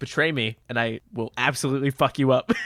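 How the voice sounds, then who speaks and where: In a gravelly, put-on character voice, a man speaks at a medium pitch and a fairly quick pace. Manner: menacing.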